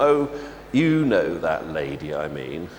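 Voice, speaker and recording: Putting on a character voice, a man drawls in a bored tone at a fairly slow pace over clear background noise. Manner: bored, drawling.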